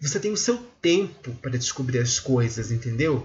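A somewhat breathy voice moves at a moderate pace with very wide pitch swings. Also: man. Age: 20s. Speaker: podcast host. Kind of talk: solo monologue commentary. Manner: halting with many filler hesitations.

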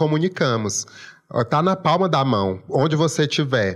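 In a strong Maranhão accent, the speaker keeps a moderate pace against a quiet background. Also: man. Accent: strong local Maranhão. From Imperatriz, Maranhão, Brazil. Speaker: food influencer, journalist. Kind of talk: interview.

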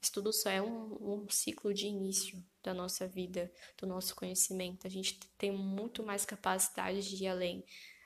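The woman's pitch is medium. She talks at a moderate pace. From Brazil. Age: 20s. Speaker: podcast host, physiotherapy student. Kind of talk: solo podcast introduction, casual monologue. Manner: animated, gesturing with hands; laughing often.

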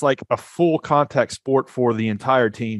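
In a dry, close sound with no echo, a man of medium pitch speaks in an ordinary speaking voice. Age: 40s. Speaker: startup founder. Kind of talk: podcast interview. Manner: fast, with many repeated words.

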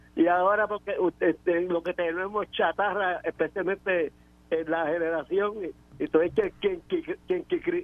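A man's high-pitched voice, fairly even in intonation, at a fairly slow pace. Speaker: caller, veteran. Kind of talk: phone-in call. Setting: phone call. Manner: halting.

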